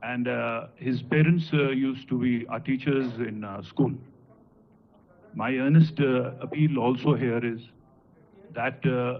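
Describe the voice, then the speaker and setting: A man at medium pitch talks at a fairly slow pace, with long, frequent pauses and fairly even intonation. Audible room echo surrounds his voice. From Punjab, India. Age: 50s. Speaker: high court judge. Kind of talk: ceremonial speech. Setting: auditorium conference. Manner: halting, frequent filler 'uh'.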